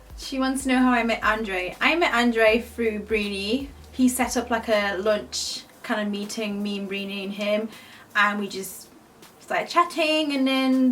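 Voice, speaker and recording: Noticeable background noise runs throughout. A woman speaks with a British accent. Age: 20s. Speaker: beauty youtuber. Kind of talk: casual Q&A chat.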